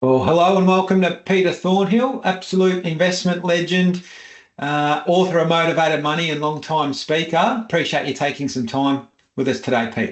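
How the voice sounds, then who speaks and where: Speaking with an Australian accent, this man has a high pitch. His pace is moderate and his pitch varies in an ordinary way. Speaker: financial advice podcast host. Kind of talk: interview.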